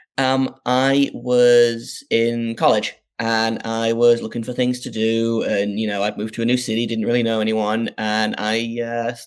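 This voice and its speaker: This man speaks with a northeast English accent at a medium pitch, his intonation monotone and flat. His pace is fairly slow, with hardly any pauses. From northeast England. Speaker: sports podcast host. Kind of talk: interview. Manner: casual, hesitant with fillers.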